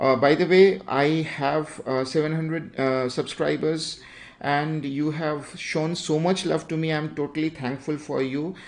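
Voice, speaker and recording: An Indian accent marks this man's fairly high voice. He speaks at a fairly slow pace. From India, Bengal. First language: Bengali. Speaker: digital art teacher, YouTuber. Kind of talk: livestream drawing tutorial. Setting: YouTube livestream. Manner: halting, many fillers.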